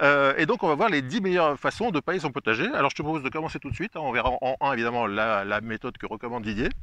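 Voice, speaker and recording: Fairly high in pitch with a bright, sharp tone, a man speaks at a very fast pace with hardly any pauses and lively intonation. The sound is dry and close with no echo. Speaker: gardening YouTuber. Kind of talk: casual interview.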